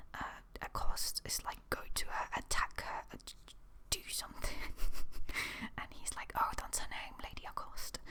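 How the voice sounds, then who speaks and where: The voice is whispering. Long pauses come up frequently. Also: moderate pace. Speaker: ASMR creator. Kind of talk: rambling ASMR talk to camera. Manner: whispered.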